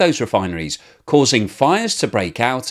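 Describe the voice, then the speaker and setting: Against a quiet background, a man with vocal fry speaks at a moderate pace, his pitch swinging very widely. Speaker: news commentary vlogger. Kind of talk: commentary. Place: home room.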